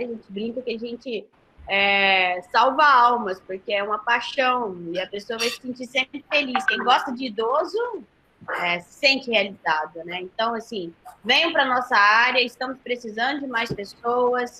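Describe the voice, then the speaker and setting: A woman talks at a fairly high pitch and a fairly slow pace. Her pitch variation is ordinary, while her loudness swings a lot. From Goiás, Brazil. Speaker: nursing professor. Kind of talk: webinar closing remarks. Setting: online live webinar.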